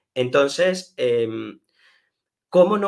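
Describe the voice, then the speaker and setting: This man talks with ordinary pitch variation. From Venezuela, Caracas. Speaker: author. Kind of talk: interview. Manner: halting.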